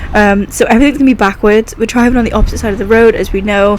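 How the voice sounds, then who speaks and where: Noticeable background noise sits behind a woman speaking at a fairly high pitch with ordinary pitch variation. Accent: British. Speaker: gaming YouTuber. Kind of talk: gameplay commentary. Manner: animated.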